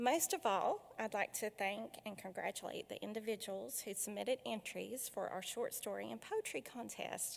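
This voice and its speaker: Woman with an Appalachian accent at a moderate pace. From Appalachia, southwest Virginia. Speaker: foundation director hosting a literary event. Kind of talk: welcome speech and author introduction. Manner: frequent filler hesitations.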